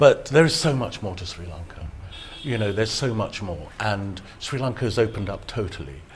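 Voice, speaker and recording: A somewhat breathy man with a British accent. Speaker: photographer and travel guide author. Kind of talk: TV interview. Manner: halting, with repetitions.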